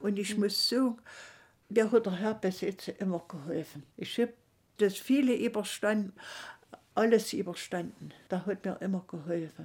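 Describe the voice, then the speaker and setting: A woman talks at a moderate pace and medium pitch, somewhat breathy, with ordinary pitch variation. She leaves long, frequent pauses. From Saxony, Erzgebirge (Thum). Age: 90s. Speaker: former political prisoner. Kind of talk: interview testimony. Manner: halting.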